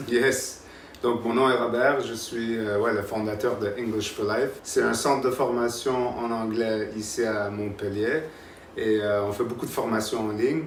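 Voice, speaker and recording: This man has a medium pitch and a monotone, flat intonation at a fairly slow pace. Noticeable background noise and audible room echo are present. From Canada. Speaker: English school founder. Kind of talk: casual interview.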